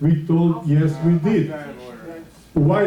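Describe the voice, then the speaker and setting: In a room with audible echo, a man with a non-native accent speaks at a high pitch in a dark, mellow tone. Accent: foreign, limited English. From Switzerland. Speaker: community resident speaking at board meeting. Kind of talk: public comment at meeting. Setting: board meeting. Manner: halting, hesitant.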